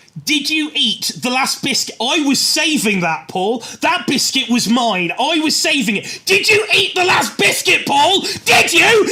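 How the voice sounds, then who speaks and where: A man with a British accent shouts in a raised, projected voice, his pitch swinging very widely. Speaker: podcast co-host. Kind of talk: casual chat. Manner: loud, shouting; animated.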